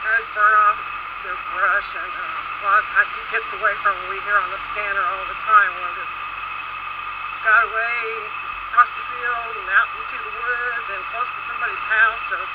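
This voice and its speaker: A man speaks at a moderate pace with long, frequent pauses. The sound is dry with no echo, though loud background noise is present. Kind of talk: casual vlog chat. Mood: relaxed, easygoing. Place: motorbike.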